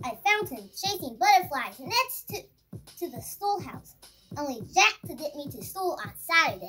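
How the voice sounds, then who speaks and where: The speaker uses a put-on character voice. Music plays in the background. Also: woman, moderate pace. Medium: read story. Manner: warm, reminiscing.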